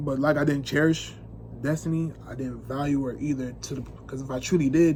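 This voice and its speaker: The speech moves at a fairly quick pace in a monotone, flat intonation. Room echo is audible. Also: man, fairly high pitch for a man. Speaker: vlogger. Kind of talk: casual monologue to camera. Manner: fast; unscripted, halting.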